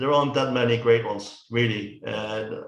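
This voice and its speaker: This man speaks with a Dutch accent at a medium pitch, in a monotone, flat delivery at a fairly slow pace. Audible room echo surrounds his voice. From Netherlands. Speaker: film reviewer. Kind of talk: casual chat. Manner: halting.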